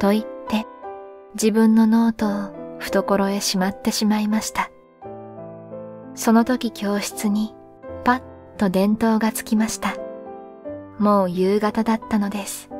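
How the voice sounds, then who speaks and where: A woman with a fairly high pitch speaks at a fairly slow pace with fairly even intonation and long, frequent pauses, music playing in the background. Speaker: sleep story reader. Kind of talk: sleep story reading, calm literary narration.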